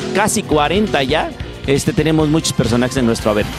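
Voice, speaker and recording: Clear music plays in the background while a man talks at a fairly quick pace. The sound is dry, with no echo. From Mexico. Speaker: voice actor and dubbing director. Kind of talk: interview answer. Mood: calm, reflective. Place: home room. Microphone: handheld.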